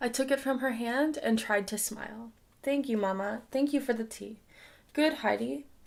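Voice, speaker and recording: On a very clean recording over a silent background, a woman speaks in a plain, everyday voice. Her pace is fairly quick, with ordinary pitch variation. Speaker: audiobook reader. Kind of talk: audiobook reading.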